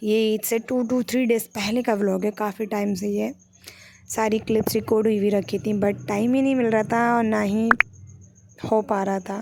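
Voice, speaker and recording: A woman speaks at fairly high pitch with monotone, flat intonation. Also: moderate pace. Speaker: student vlogger. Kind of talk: vlog narration.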